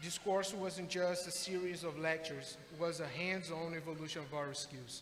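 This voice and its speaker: Speaking with a Brazilian accent, a man talks at a moderate pace in a high voice with fairly even intonation. Noticeable background noise and audible room echo are present. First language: Portuguese. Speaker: adult education graduate, HVAC technician. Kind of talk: graduation speech. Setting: graduation ceremony with audience. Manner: formal.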